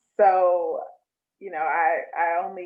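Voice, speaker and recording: A woman with an American accent. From New York, Brooklyn. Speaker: mental health counselor and business owner. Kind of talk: casual interview chat.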